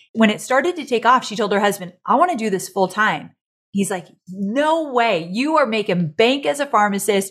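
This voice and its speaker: In a plain, everyday voice, a woman with a fairly high pitch speaks at a moderate pace with lively intonation. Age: 40s. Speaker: online business entrepreneur and author. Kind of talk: casual chat.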